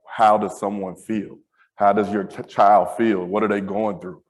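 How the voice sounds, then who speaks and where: A man with an American accent, an unremarkable speaking voice, fairly low in pitch at a moderate pace. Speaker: school safety director. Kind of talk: panel discussion.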